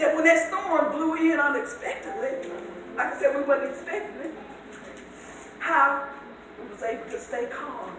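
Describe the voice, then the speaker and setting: A woman with a high voice and lively intonation talks at a moderate pace, with long, frequent pauses and big swings in loudness. Noticeable background noise and audible room echo fill the recording. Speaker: conference speaker. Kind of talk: testimony sermon. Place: church. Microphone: camera far.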